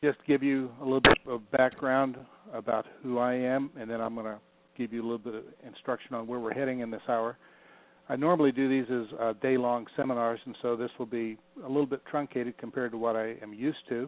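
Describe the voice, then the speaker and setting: A man with an American accent talks at a fairly quick pace. His medium-pitched voice has monotone, flat intonation. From US Midwest, southern Illinois and rural Ohio. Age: 60s. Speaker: fundraising consultant and professor. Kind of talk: webinar presentation. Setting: online webinar.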